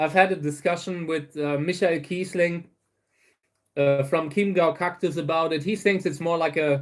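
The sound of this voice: Delivery comes at a moderate pace. The intonation is fairly even. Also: man, fairly high pitch for a man.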